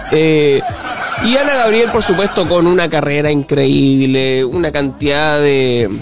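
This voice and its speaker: With a Chilean accent, a man talks at a fairly slow pace and fairly high pitch, using lively intonation and very even loudness. Audible room echo and noticeable background noise surround him. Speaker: radio host. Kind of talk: casual chat.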